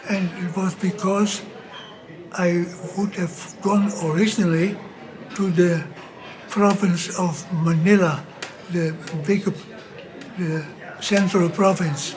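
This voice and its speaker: A man's high voice in a Dutch accent, monotone and flat, at a very slow pace with long, frequent pauses, amid noticeable background noise and audible room echo. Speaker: missionary priest. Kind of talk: interview storytelling. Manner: halting.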